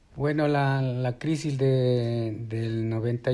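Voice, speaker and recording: A man with a medium pitch speaks at a very slow pace in a dark, mellow tone. His intonation stays fairly even. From Ecuador. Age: 60s. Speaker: retiree interviewee. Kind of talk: interview. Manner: halting.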